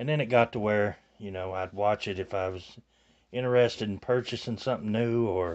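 A man's fairly low voice at a fairly quick pace. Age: 50s. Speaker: YouTuber. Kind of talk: tutorial. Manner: halting.

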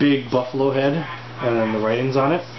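A man speaks while background noise is clearly noticeable. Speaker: beer reviewer. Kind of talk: casual review vlog. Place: home room. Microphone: camera far.

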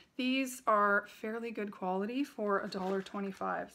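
The woman's tone is bright and sharp. Light background noise sits behind her. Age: 40s. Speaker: haul video creator. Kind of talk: casual product haul talk to camera. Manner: chatty, casual. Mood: enthusiastic, friendly. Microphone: phone near.

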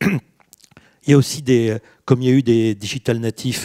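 Over a quiet background, the man's tone sounds dark and mellow. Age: 50s. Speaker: business executive and author; panelist. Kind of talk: panel discussion. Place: hall. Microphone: handheld.

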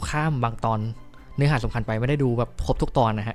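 Music plays in the background as a man speaks at medium pitch with fairly even intonation. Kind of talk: casual movie review talk. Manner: chatty, informal.

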